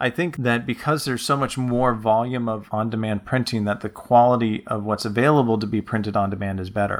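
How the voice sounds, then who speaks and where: Over a silent background in a very clean recording, a man speaks at a medium pitch in an unremarkable speaking voice. He moves at a fairly quick pace with fairly even intonation and hardly any pauses. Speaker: podcast host and author. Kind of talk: casual informative podcast talk.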